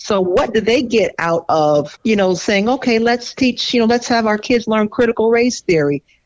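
A woman's plain, everyday voice, fairly high in pitch, with lively intonation and an American accent. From US South. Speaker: mental health professional, co-host. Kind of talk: casual chat.

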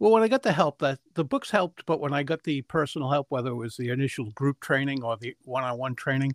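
A man talks at a fast pace with a medium pitch and ordinary pitch variation. The sound is dry and close with no echo.

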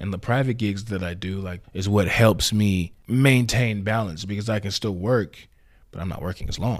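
A man with an American accent and an ordinary speaking voice talks at a moderate pace and a fairly low pitch with fairly even intonation, recorded very cleanly against a silent background. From Houston, Texas (Alief). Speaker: male entertainer and musician. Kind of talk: casual interview.

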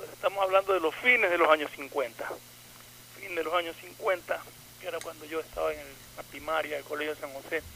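A man's fairly high voice at a fairly quick pace, with ordinary pitch variation, big swings in loudness and noticeable background noise. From Ecuador, coastal (Manta). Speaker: radio panelist. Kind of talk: casual chat.

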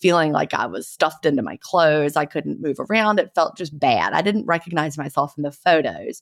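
On a very clean recording with a silent background, a woman with a Southern US accent talks at a fairly quick pace in a fairly low pitch. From US South. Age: 50s. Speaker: author and retired teacher, podcast host.

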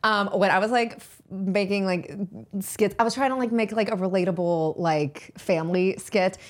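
A woman with an American accent and a plain, everyday voice, at medium pitch and a moderate pace, with ordinary pitch variation and big swings in loudness. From Pittsburgh, US. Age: 20s. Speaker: social media influencer and actress. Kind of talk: casual podcast interview.

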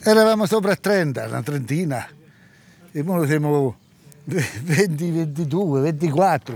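A man with a rural central Italian accent and a fairly high pitch speaks at a very slow pace with lively intonation and long, frequent pauses. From central Italy (Amatrice area). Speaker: cattle farmer. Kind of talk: interview. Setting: outdoors in village. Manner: halting.

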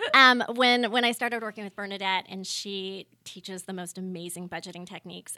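Here is a woman with an American accent and a bright, sharp tone. She talks at a fairly quick pace with fairly even intonation. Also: very clean recording, silent background. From Northern California, Sonoma County. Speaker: interior designer. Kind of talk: casual chat.

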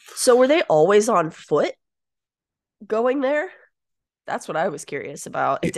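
Against a quiet background, a woman with a fairly high voice and vocal fry talks at a fairly slow pace, her pitch swinging very widely between long, frequent pauses. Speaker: podcast co-host. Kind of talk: casual podcast chat.

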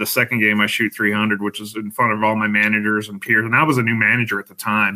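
A man with an American accent, fairly low in pitch, in a monotone, flat intonation at a very fast pace. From Colorado, Denver. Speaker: league bowler. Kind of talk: casual chat.

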